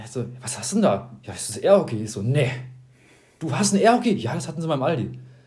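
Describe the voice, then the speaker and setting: A man talks at a fairly quick pace in a fairly high pitch, with very wide pitch swings. His loudness swings widely, and the room echo is audible. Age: 20s. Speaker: podcast co-host, student. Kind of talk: casual chat.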